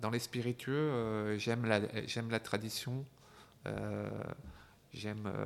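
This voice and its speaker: The speech is very slow and monotone, with flat intonation and long, frequent pauses. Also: man. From France, Burgundy (Dijon). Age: 50s. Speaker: gin entrepreneur. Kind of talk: interview. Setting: his shop. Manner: halting, repeated words.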